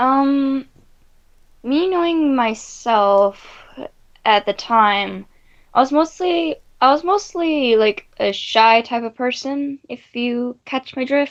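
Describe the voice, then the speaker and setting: Lively in intonation and high in pitch, a woman talks at a very slow pace. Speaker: interviewee. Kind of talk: interview testimony. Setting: livestream. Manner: stuttering, halting.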